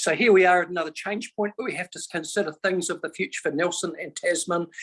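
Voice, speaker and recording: High male voice with a New Zealand accent at a fairly quick pace. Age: 60s. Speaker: member of the public making a submission. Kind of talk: public hearing submission. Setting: video call.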